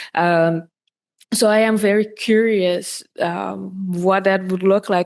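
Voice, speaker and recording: In a Dutch accent, a woman talks with fairly even intonation. The background is quiet. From Netherlands. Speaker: podcast host. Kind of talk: interview. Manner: halting, many fillers.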